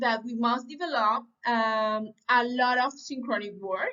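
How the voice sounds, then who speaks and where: At a fairly slow pace, a woman with a high pitch speaks with a Spanish accent. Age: 30s. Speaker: language student. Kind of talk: reading aloud. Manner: halting.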